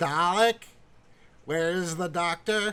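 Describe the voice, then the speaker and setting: A man's put-on character voice, robotic and high-pitched. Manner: menacing, barking.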